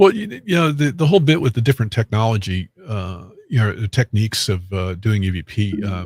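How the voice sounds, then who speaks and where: A man's fairly low, somewhat breathy voice at a fairly quick pace with lively intonation, on a very clean recording with a silent background. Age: 60s. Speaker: medium and paranormal investigator. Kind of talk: casual interview chat. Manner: halting, many fillers.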